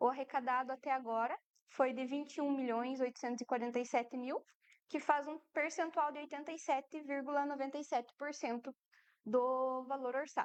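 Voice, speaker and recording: Soft-spoken and high-pitched, a woman talks at a moderate pace with fairly even intonation in a dry, close sound with no echo. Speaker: municipal finance official. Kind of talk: public fiscal report presentation.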